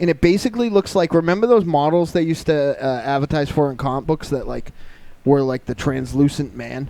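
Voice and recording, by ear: With vocal fry, a man speaks in a dark, mellow tone. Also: fairly high pitch for a man, ordinary pitch variation, fairly quick pace.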